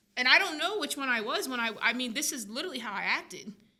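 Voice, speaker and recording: A woman talks at a very fast pace. Her tone is bright, sharp and energetic. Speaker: filmmaker. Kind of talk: casual chat. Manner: energetic, fast.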